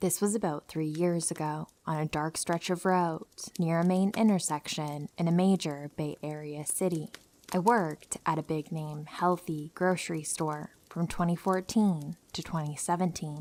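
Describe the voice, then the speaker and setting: This woman's voice is fairly low in pitch, with fairly even intonation at a moderate pace. It is an unremarkable speaking voice, on a very clean recording with a silent background. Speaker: horror story narrator. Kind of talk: true horror story narration.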